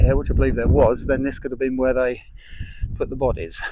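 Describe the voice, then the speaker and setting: Noticeable background noise is present. A man does the talking. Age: 60s. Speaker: history vlogger. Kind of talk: casual walking-tour commentary. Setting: outdoors on open moorland. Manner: casual, hesitant with fillers.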